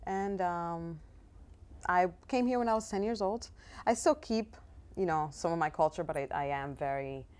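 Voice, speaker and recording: Speech in a Spanish accent moves at a moderate pace with lively intonation and long, frequent pauses. The recording is very clean, with a silent background. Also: woman, fairly low pitch for a woman. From Dominican Republic, Santo Domingo, moved to US at ten. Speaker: actress. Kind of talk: interview. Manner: hesitant, many fillers.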